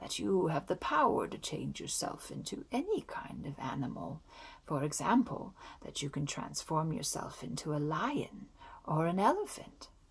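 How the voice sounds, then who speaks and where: At a middle pitch, a put-on character voice is heard. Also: moderate pace. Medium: read story.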